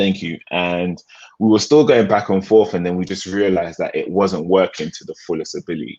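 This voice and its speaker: A man with a very deep, low pitch and a British accent, at a fairly quick pace with big swings in loudness. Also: ordinary pitch variation. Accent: British accent, kept. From England, London. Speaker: music producer. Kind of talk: interview.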